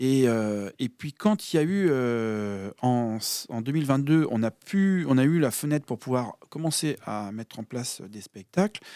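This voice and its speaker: Very slow and lively in intonation, this man of medium pitch has a dark, mellow tone, heard dry and close with no echo in a very clean recording with a silent background. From France, mostly outside Brittany (Air Force family). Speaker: musician and musical director. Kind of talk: radio interview. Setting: radio studio. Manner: hesitant, many fillers.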